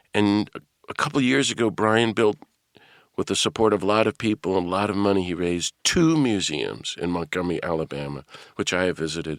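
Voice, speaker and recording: A man speaks in a very deep, low voice. The sound is dry and close with no echo, and the recording is very clean, with a silent background. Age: 60s. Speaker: podcast host and priest. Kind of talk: interview introduction and questions.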